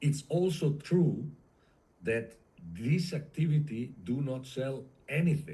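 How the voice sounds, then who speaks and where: Somewhat breathy and fairly high in pitch, a man talks at a very slow pace with ordinary pitch variation. Long, frequent pauses and audible room echo fill the clip. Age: 60s. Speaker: industrial sales consultant. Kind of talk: interview. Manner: halting, with many fillers.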